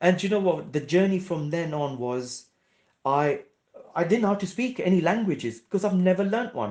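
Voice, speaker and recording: Speaking in a Gujarati accent, a man uses a high pitch and lively intonation, with long, frequent pauses. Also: moderate pace. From Kenya (Nairobi), moved to England around age twelve. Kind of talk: interview.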